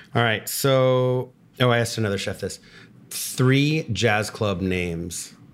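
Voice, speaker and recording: In a plain, everyday voice, a man speaks at a medium pitch and a fairly slow pace. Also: ordinary pitch variation, very clean recording, silent background. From Texas. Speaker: podcast host. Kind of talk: casual interview.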